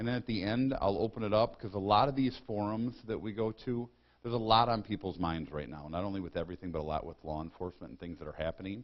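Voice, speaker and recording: Talking very fast, a man speaks with an Upper Midwest accent. His pitch is fairly low and his intonation lively. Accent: Upper Midwest American. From Michigan, Lapeer County. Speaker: county sheriff. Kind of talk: public talk. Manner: loud; blunt.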